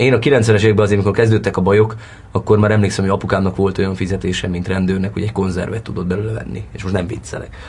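A man speaks at a very fast pace with fairly even intonation. His voice is fairly low and somewhat breathy. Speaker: actor. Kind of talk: interview.

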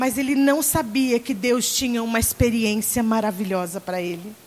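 A woman with a fairly high pitch speaks at a fairly slow pace, her intonation lively, with noticeable background noise. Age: 40s. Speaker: pastor. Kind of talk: sermon. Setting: church conference with congregation.

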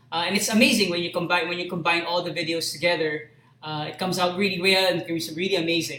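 Noticeable background noise runs under a man's high-pitched voice. He talks at a very fast pace with fairly even intonation. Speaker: live stream host. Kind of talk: casual chat. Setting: live stream.

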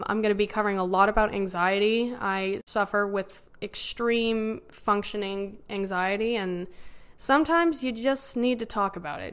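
Her American accent comes with a medium pitch and ordinary pitch variation as the woman speaks. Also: moderate pace. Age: 20s. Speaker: podcast host, college student. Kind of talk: casual monologue.

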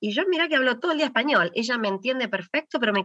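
Lively intonation at a very fast pace. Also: woman. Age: 40s. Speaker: founder of children's language program. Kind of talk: interview conversation.

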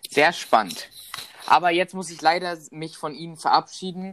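A man speaks at a moderate pace, the sound dry and close with no echo at all. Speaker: podcast host. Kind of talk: interview moderation. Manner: loud.

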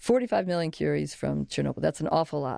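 A woman's dark, mellow voice with an American accent, set against a quiet background. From US Midwest, Chicago. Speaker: historian and professor. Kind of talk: interview. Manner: halting, with false starts.

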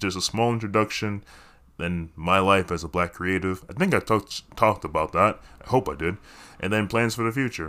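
A man with a fairly low pitch and a bright, sharp tone speaks at a moderate pace with ordinary pitch variation. The recording is very clean, with a silent background. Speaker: podcaster and actor. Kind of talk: casual solo monologue. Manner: self-deprecating, laughs often.

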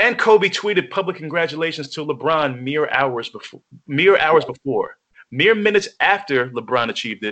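With an American accent, a man talks at a moderate pace in a plain, everyday voice. His pitch is fairly high and his intonation lively. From New York. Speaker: podcast co-host. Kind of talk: casual chat.

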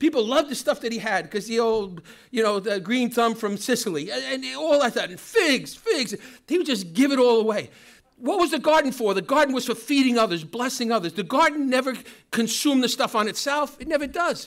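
Against a silent background in a very clean recording, a man speaks at an extremely high pitch and a fairly quick pace with lively intonation. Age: 60s. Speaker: pastor. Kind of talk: sermon. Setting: church.

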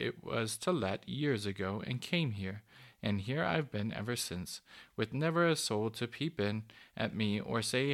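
This is someone reading aloud in a natural voice, with lively intonation.

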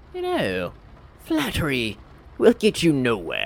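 Over light background noise, a man cackles in a put-on character voice at a fairly slow pace. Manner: mocking, sardonic.

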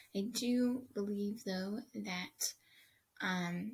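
The voice is somewhat breathy, and its pitch varies in an ordinary way. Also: woman. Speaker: podcast host interviewer. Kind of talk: casual interview.

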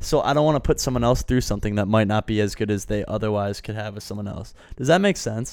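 With an American accent, a man speaks at a very fast pace and a fairly low pitch, using ordinary pitch variation and hardly any pauses. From Wisconsin, US Midwest. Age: 20s. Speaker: podcast co-host, college student. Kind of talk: casual chat.

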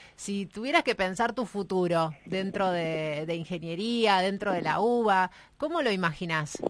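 A woman with an ordinary speaking voice talks at a medium pitch and a fairly slow pace. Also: ordinary pitch variation. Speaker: radio co-host, university staff. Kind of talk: radio show.

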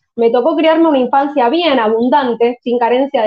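Using an ordinary speaking voice, a woman talks at a moderate pace, her pitch varying in an ordinary way. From Argentina, Buenos Aires. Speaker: crypto investor and content creator. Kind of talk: casual interview chat.

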